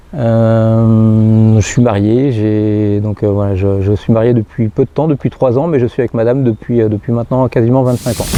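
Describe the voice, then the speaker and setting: The speech runs at a moderate pace with fairly even intonation and very even loudness. Noticeable background noise sits behind it. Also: man, medium pitch for a man. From northeastern France, Marne / Seine-et-Marne. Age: 40s. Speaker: firefighter. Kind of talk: personal testimony interview. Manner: halting, many hesitations and repetitions.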